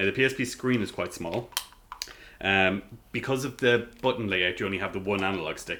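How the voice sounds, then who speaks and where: With an Irish accent, a man speaks at a fairly quick pace in a fairly low pitch with ordinary pitch variation. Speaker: gaming podcast host. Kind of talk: casual chat.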